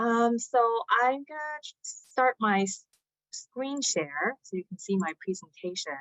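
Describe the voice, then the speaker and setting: A woman's fairly high voice in a Chinese accent, with very wide pitch swings. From China, Shanghai; moved to US at nine. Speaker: climate advocate and researcher. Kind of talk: conference presentation. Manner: hesitant with many fillers.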